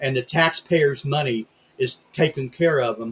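At a moderate pace, the somewhat breathy voice keeps a fairly even intonation. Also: man. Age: 60s. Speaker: podcast host. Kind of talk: political rant; casual chat.

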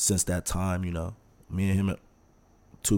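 On a very clean recording with a silent background, a man speaks in a very deep, low pitch with a dark, mellow tone and monotone, flat intonation. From Texas. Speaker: former college football player. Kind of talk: casual interview. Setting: studio.

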